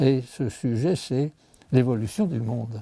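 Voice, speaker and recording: At a very slow pace, a man talks in a somewhat breathy, dark, mellow voice of medium pitch. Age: 80s+. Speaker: scientist. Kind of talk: interview. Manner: halting.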